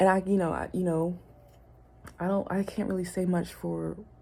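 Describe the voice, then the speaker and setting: This woman's voice is fairly low, with a dark, mellow tone. There is a somewhat breathy quality to it. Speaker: vlogger. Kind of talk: personal vlog monologue. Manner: hesitant, many fillers.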